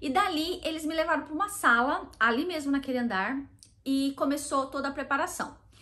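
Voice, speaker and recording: This woman has a high pitch and a Brazilian accent. She keeps a fairly quick pace. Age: 30s. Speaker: vlogger. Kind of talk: casual talk to camera.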